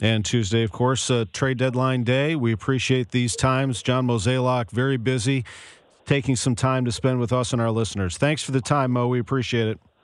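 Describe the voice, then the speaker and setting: In a normal speaking voice, a man talks at a medium pitch. His pace is fairly quick and his intonation fairly even. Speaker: radio sports host. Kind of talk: radio interview. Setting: studio.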